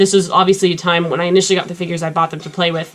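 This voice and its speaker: A woman's fairly low, monotone, flat voice at a very fast pace, over noticeable background noise. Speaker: YouTube action figure reviewer. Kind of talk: casual reaction commentary.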